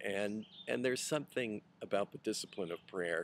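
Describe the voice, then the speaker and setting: Quiet and fairly low in pitch, a man speaks at a fairly slow pace with ordinary pitch variation. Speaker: pastor. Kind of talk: video message to supporters. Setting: outdoors at a rural retreat center. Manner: quiet, voice kept down.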